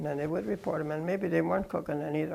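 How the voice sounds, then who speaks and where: A woman with an American accent and a very deep, low pitch talks at a very fast pace, with vocal fry and fairly even intonation. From US Midwest, rural Iowa. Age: 80s+. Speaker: interviewee, former bootlegging lookout. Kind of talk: oral history interview.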